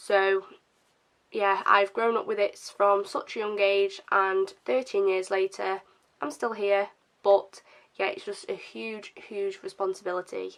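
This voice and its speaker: Woman with a British accent, medium pitch and a very slow pace. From England. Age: 20s. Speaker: vlogger. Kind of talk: casual to-camera talk. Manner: hesitant, many fillers.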